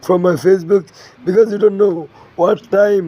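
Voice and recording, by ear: This man speaks at a moderate pace with a dark, mellow tone, fairly even intonation and a high pitch.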